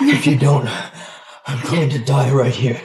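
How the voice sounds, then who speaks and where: A raspy, put-on character voice moves at a moderate pace. Its intonation is monotone and flat. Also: man, medium pitch for a man. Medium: short film. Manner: calm, low-key.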